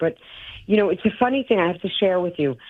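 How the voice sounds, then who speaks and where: The speaker has a strong New York accent. The pitch swings very widely. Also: woman. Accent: thick New York. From New York City, Brooklyn. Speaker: actor and stand-up comedian. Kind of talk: interview.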